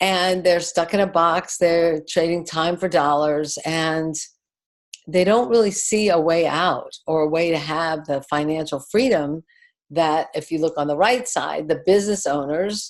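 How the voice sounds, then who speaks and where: A woman at a fairly low pitch and fairly slow pace, a normal speaking voice with ordinary pitch variation. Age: 60s. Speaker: network marketing distributor. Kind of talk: business presentation.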